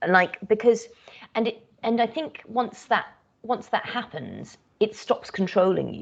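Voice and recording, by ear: With a British accent, a woman speaks at medium pitch with vocal fry and a slightly husky edge. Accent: British, crisp RP English.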